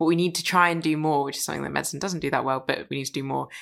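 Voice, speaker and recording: In a very clean recording with a silent background, a woman speaks in a flat monotone at a very deep, low pitch. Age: 20s. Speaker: podcast host. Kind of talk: interview conversation.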